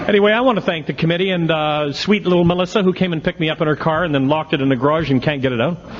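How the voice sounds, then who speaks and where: A man with a fairly high pitch talks in an animated tone at a very fast pace, with ordinary pitch variation and hardly any pauses. His loudness stays very even over noticeable background noise. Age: 60s. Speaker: recovery speaker at an AA convention. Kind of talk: speaker talk at a twelve-step convention.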